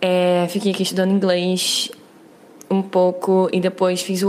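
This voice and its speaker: Against noticeable background noise, a woman speaks at a fairly slow pace in a monotone, flat delivery. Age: 20s. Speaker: listener sending a question. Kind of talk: recorded voice message.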